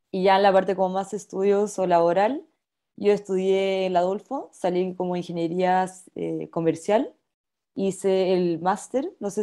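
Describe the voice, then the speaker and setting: A woman with a Chilean accent talks in a dark, mellow tone with fairly even intonation against a quiet background. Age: 20s. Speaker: company trainee; presenter. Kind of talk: personal testimony in webinar. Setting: video call. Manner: fast talker when nervous. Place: home room. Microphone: webcam.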